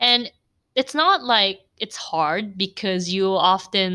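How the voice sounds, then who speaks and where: An animated woman speaks with an American accent and a bright, sharp tone. The recording is very clean, with a silent background. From Philippines (Cebu), Korean parents. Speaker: podcaster. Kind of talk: casual monologue. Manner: animated, laughs often.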